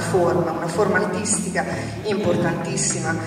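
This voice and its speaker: A woman's voice at a moderate pace, with strong room echo and music in the background. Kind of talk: public talk at event. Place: stage.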